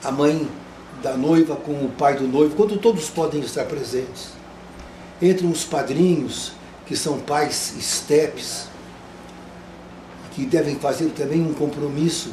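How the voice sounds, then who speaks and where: With long, frequent pauses, a man speaks in a fairly high pitch over noticeable background noise. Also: ordinary pitch variation. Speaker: wedding celebrant. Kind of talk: interview answer. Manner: gentle, soft-spoken.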